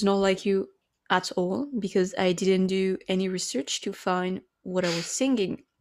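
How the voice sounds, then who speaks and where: A woman with a French accent talks at a medium pitch. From France. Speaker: podcast co-host. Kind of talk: casual chat.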